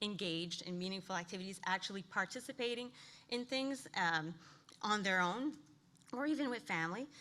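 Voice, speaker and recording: A woman with a medium pitch speaks at a fairly quick pace with lively intonation and a bright, sharp tone. She sounds nervous and shaky. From New Brunswick, Canada. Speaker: occupational therapist. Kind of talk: conference presentation. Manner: shaky, nervous voice; halting, many fillers.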